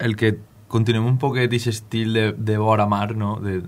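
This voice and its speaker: A man's fairly low voice, monotone and flat, at a moderate pace. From Valencian Country, Benifalló; Valencian Country. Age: 20s. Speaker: musician. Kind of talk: radio interview. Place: studio.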